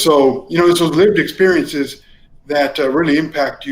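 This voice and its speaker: Here a man speaks with a Spanish accent. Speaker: college faculty member and former political staffer. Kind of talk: interview conversation. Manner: hesitant, repeats words.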